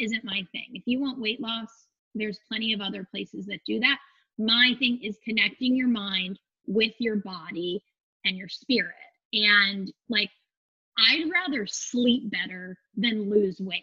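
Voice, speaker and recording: An ordinary speaking voice with an American accent moves at a fairly slow pace with ordinary pitch variation. Its loudness swings in big jumps. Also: woman. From Phoenix, Arizona. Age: 30s. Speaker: yoga instructor and studio owner. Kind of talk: casual interview chat.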